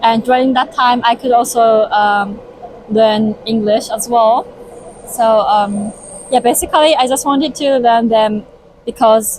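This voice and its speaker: Through noticeable background noise, a woman with a Japanese accent speaks at a fairly high pitch and fairly slow pace, with very even loudness and ordinary pitch variation. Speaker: interviewee, language learner. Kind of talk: interview. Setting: Tokyo.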